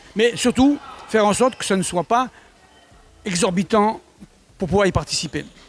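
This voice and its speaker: Over music in the background, a man with a high pitch talks at a moderate pace with ordinary pitch variation and long, frequent pauses. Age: 70s. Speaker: sports federation president and fencing coach. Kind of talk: interview.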